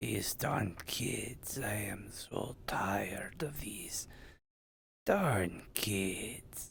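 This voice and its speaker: Using a put-on character voice, a man speaks raspy and at a fairly low pitch, at a very slow pace. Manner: complaining, cranky.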